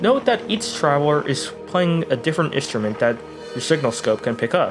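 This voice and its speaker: Over background music, a man talks at a moderate pace with very wide pitch swings. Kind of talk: video essay narration.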